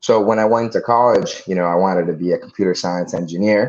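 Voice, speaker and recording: American-accented male voice, fairly quick in pace. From Dominican Republic, then US from age 14. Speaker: real estate investor. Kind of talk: casual podcast interview.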